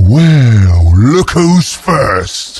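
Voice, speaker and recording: A man puts on a character voice. His pitch is fairly high. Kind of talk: video game hero barks. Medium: video game. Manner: triumphant, gloating.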